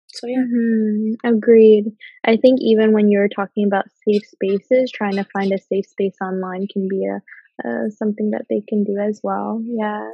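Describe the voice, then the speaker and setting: The pace is moderate. The delivery is somewhat breathy and carries monotone, flat intonation. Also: woman, medium pitch for a woman. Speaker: podcast host. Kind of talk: casual interview chat.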